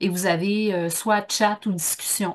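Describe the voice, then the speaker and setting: In a Quebec accent, a woman speaks at a moderate pace with medium pitch and ordinary pitch variation against a quiet background. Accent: Québécois. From Quebec, Bas-Saint-Laurent. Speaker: workshop trainer. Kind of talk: online conference talk. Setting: Zoom video call. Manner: casual, with many fillers.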